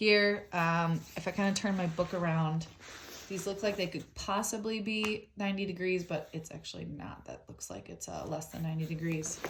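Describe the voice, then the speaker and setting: At a moderate pace, a woman speaks in a fairly low, somewhat breathy voice with fairly even intonation. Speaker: teacher. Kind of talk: tutorial. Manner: halting.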